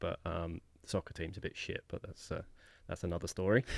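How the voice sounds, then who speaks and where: Recorded very cleanly against a silent background, with a dry, close sound and no echo, a man with an English accent speaks at a fairly quick pace. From England, Luton area (Bedfordshire village). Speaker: podcast guest. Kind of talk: casual chat.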